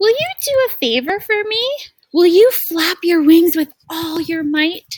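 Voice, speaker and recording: A woman's put-on character voice, extremely high-pitched and gentle in tone, at a fairly slow pace. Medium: read story. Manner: gentle, soft-spoken.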